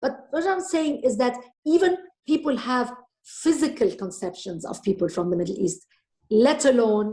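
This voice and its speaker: A woman's high voice with a slight Lebanese accent, dark and mellow in tone, with very wide pitch swings at a moderate pace. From Lebanon. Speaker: author and storyteller. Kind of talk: interview.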